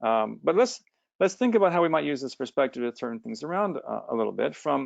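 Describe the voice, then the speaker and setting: A man with a fairly high-pitched voice. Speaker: AI researcher and entrepreneur. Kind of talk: talk with slides. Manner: fast.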